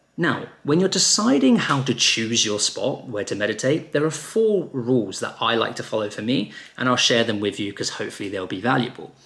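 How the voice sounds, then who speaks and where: His intonation is lively. He talks at a fairly quick pace. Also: medium pitch for a man. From England. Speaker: meditation teacher. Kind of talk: tutorial.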